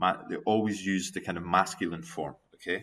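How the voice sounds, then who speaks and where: With a Scottish accent, a man speaks using ordinary pitch variation. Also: very clean recording, silent background. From Scotland. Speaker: university lecturer. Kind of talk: recorded video lecture giving feedback. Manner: animated.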